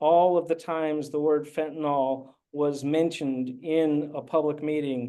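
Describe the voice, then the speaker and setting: A fairly high male voice with a dark, mellow tone, monotone, flat intonation and a fairly slow pace. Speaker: newsroom editor and co-founder. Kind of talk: software demo presentation. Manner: hesitant, many fillers.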